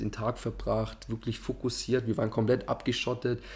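Somewhat breathy and fairly low-pitched, the man talks in a monotone with flat intonation. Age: 20s. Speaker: amateur footballer and investment adviser. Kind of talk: casual interview.

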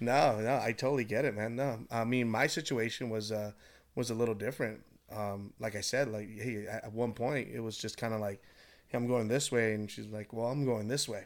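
On a very clean recording with a silent background, a man with an American accent and an unremarkable speaking voice talks at a fairly quick pace, with a medium pitch and fairly even intonation. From Southern California, Orange County. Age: 30s. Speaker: salesman. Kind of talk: casual chat.

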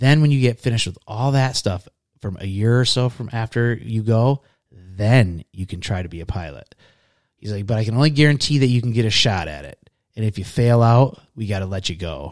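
A man with a normal speaking voice and medium pitch talks at a fairly quick pace with lively intonation. His loudness swings widely, and the recording is very clean with a silent background. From Michigan. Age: 40s. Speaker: podcast guest, military veteran. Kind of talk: casual interview.

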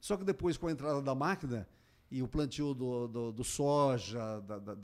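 With lively intonation and a moderate pace, a man talks at a fairly high pitch in an ordinary speaking voice. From interior of Paraná, Brazil. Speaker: mayor. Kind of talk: radio interview. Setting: radio studio.

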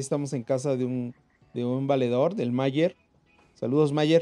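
A man speaks at a moderate pace with a fairly high pitch. His tone is dark and mellow, and the sound is dry and close with no echo. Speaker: podcast co-host. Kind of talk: casual chat; reading aloud. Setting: recording from home. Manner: excited.

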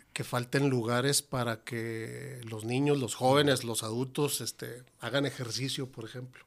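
A man speaks at a very slow pace. His medium-pitched voice stays monotone and flat. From Ciudad Juárez, Mexico. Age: 50s. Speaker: restaurant owner. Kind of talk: casual interview.

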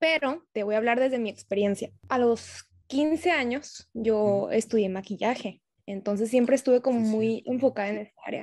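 At a moderate pace, a woman with a fairly high pitch and ordinary pitch variation speaks in a normal speaking voice. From Tijuana, Mexico. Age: 20s. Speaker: medical student and skincare entrepreneur. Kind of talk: casual chat.

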